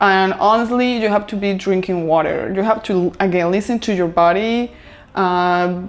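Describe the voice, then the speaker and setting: Speaking at a moderate pace with a Spanish accent, a woman keeps a medium pitch and fairly even intonation. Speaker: lifestyle vlogger. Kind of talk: casual vlog talk to camera. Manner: hesitant, filler-heavy.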